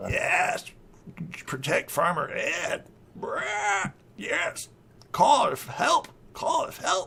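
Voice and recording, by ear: In a put-on character voice, a man croaks out guttural words at a very slow pace, with long, frequent pauses.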